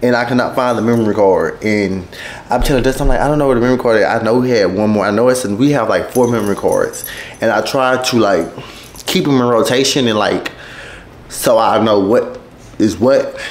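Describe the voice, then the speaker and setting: The speech moves at a fairly quick pace with fairly even intonation. Loudness is very even, and room echo is audible. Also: man. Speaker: vlogger. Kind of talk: casual vlog chat. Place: home room. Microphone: camera far.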